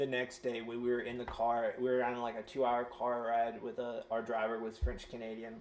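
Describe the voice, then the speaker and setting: With an American accent, a man speaks at a fairly quick pace against noticeable background noise. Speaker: tabletop game player. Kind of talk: casual chat.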